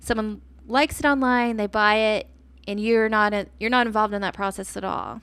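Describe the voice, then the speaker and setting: In an ordinary speaking voice, a woman with an American accent talks at a fairly quick pace and fairly high pitch, her intonation fairly even. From Texas, Austin. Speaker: podcast host, entrepreneur. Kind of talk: solo podcast monologue. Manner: casual, conversational.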